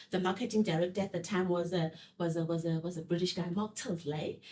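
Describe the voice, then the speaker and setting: Here a woman talks at a fairly quick pace. Her pitch sits in the medium range. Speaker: podcast host. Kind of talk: interview. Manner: fast.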